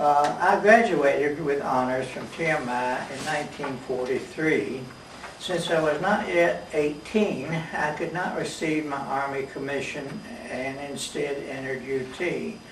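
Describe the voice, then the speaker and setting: Noticeable background noise and audible room echo surround a man speaking at a fairly slow pace. His pitch is fairly high with ordinary variation, and he has an American accent. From US South, Knoxville, Tennessee. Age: 80s+. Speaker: war veteran. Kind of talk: oral history interview.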